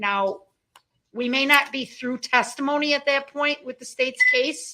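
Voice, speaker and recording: A woman is speaking. Her voice is loud. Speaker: prosecutor. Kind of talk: courtroom proceedings. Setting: courtroom.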